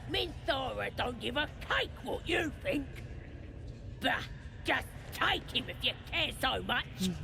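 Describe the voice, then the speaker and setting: Someone uses a put-on character voice with long, frequent pauses amid loud background noise. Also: fairly slow pace. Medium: video game. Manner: gruff, crude.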